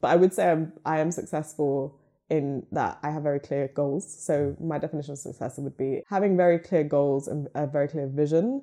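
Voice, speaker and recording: Speaking with a southern English accent, a woman has a very deep, low pitch. Her intonation stays fairly even. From England, Luton. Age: young. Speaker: podcast network co-founder. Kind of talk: casual interview.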